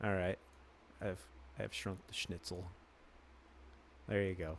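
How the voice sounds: A man's voice on a very clean recording against a silent background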